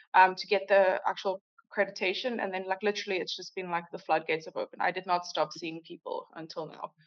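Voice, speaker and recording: At a very fast pace with hardly any pauses, a woman at medium pitch speaks with ordinary pitch variation and big swings in loudness. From South Africa, Cape Town. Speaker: hypnotherapist. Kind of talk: interview. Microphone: a little quiet.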